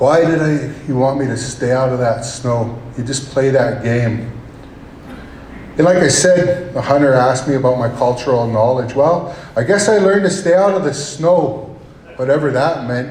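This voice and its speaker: A man talks at an even, moderate speed against a clearly audible backdrop of noise. His voice sits in a middle register and rises and falls in a usual way. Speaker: state representative, hunting guide, storyteller. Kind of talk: live storytelling to an audience. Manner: casual, conversational.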